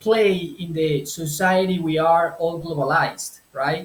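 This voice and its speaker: A man talks with a Spanish accent. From Colombia. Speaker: translator and language business owner. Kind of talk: interview. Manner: halting, with repetitions.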